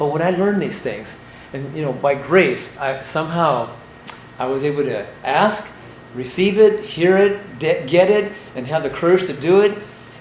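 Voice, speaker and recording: Amid noticeable background noise and audible room echo, a man speaks at a moderate pace with lively intonation. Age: 60s. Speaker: raw food health educator. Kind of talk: health lecture. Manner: animated.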